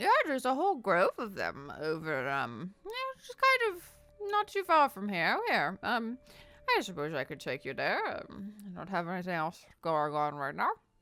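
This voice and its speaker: A female-sounding voice puts on a character voice at medium pitch for a woman, moving at a moderate pace. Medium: actual play. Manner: sweet, grandmotherly, doting.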